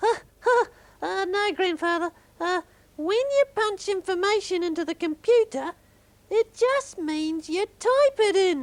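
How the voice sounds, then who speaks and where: This put-on character voice sits at an extremely high pitch and moves at a fairly slow pace. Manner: hesitant.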